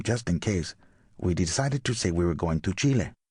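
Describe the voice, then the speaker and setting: A man with a Latin American accent speaks in a somewhat breathy voice with lively intonation. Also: quiet background. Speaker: audiobook narrator. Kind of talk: audiobook memoir narration. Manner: smooth, clear.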